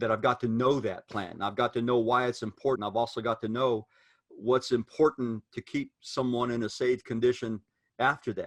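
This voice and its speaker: Speaking in a plain, everyday voice, a man at medium pitch keeps a moderate pace and fairly even intonation, with a dry, close sound and no echo. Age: 60s. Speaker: preacher. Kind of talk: casual discussion among preachers.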